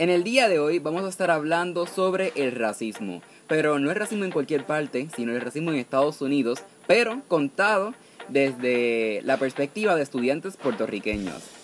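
With noticeable background noise behind him, a man speaks at a moderate pace in a fairly high voice that swings very widely in pitch. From Puerto Rico. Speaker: podcast host. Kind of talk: casual interview; scripted show outro.

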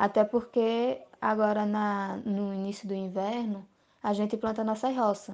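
Monotone, flat intonation in a woman's fairly high-pitched voice. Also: quiet background. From Brazil, Alagoas (Arapiraca). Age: 20s. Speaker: family farmer and rural union youth secretary. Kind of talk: interview.

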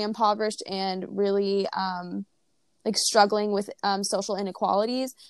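A woman with a plain, everyday voice, fairly high pitch and moderate pace on a very clean recording with a silent background. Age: 20s. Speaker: podcast co-host, student. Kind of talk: casual chat.

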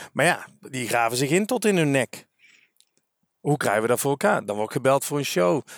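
A man's fairly high voice with very wide pitch swings, a fairly quick pace and long, frequent pauses, on a very clean recording with a silent background. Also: dry, close sound with no echo. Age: 40s. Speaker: career coach and trainer. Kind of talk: casual interview. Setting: outdoors walking.

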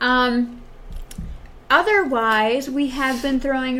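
With an American accent, a woman speaks at a fairly high pitch. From Wisconsin, US Midwest. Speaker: podcast host. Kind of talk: casual chat podcast.

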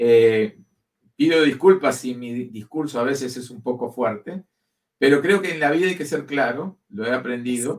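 This man's voice sits at a medium pitch with ordinary pitch variation and a moderate pace. His loudness swings widely. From Uruguay. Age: 60s. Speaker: career change speaker. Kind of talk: interview. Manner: halting.

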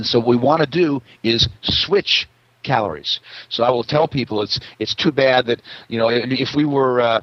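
A man's medium-pitched voice at a moderate pace with ordinary pitch variation. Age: 60s. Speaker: naturopath. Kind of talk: interview. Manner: halting.

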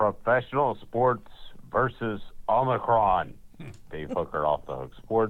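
At a fairly slow pace, a man with a medium pitch uses lively intonation, big swings in loudness and long, frequent pauses. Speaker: sports commentator. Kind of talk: radio sports segment. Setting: remote recording from airport.

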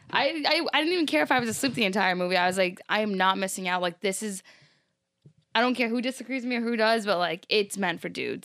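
Woman with an unremarkable speaking voice, fairly high in pitch, lively in intonation and fairly quick in pace, on a very clean recording with a silent background. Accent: American. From Rhode Island, US. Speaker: guest. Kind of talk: casual chat.

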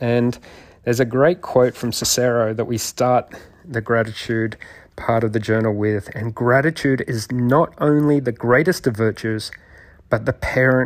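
An unremarkable speaking voice moves at a fairly slow pace in a very clean recording with a silent background. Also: man. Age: 50s. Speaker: podcast host and doctor. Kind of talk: solo monologue.

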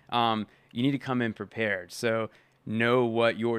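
Over a silent background in a very clean recording, a man with an unremarkable speaking voice talks at a moderate pace and medium pitch. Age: 30s. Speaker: freelance filmmaker and podcast co-host. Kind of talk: casual chat.

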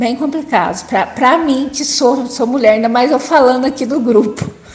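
Noticeable background noise runs under the clip. A woman speaks at a high pitch and a moderate pace with ordinary pitch variation. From interior of São Paulo state, Brazil. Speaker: person with Parkinson's. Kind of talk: personal testimony. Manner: halting.

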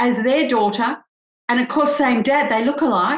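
With an Australian accent, a woman speaks at a high pitch with fairly even intonation. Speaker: couples psychologist. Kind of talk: interview.

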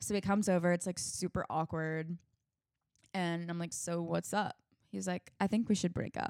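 A woman with an unremarkable speaking voice talks at a moderate pace and fairly low pitch, with fairly even intonation. The recording is very clean and dry, close, with no echo and a silent background. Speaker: singer-songwriter. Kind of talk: casual chat. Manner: uses many fillers.

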